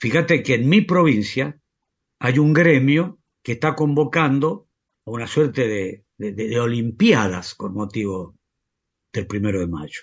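A somewhat breathy man's voice with very wide pitch swings. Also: medium pitch for a man, fairly slow pace. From Argentina, La Rioja. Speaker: union leader and teacher. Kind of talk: interview.

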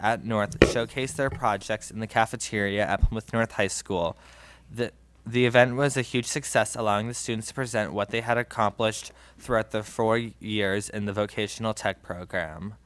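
A man at a moderate pace, ordinary pitch variation, dry sound with no echo. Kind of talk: reading announcements at a meeting. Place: meeting room. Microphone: podium.

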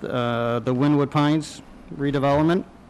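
A moderate pace with fairly even intonation. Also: man. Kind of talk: public meeting presentation. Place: meeting room. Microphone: podium.

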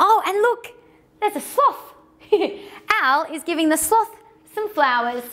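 A woman speaks slowly at an extremely high pitch, in a fairly bright tone. Her intonation is lively.

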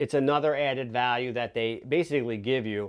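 The man talks at a middling pace, with a quiet background behind him. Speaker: product reviewer. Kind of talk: product review talk to camera. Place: studio.

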